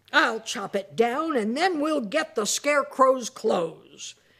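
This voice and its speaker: Using a put-on character voice, a woman growls at a high pitch. Her intonation is lively, and her pace is fairly slow. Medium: read story.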